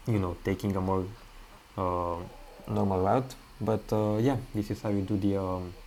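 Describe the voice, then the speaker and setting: A man's voice with music in the background. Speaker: gaming video creator. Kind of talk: game walkthrough commentary. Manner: halting, many fillers.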